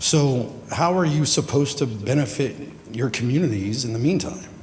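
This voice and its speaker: A man is talking. His voice carries audible room echo. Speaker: executive director of the organizing consortium. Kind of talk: conference panel remarks.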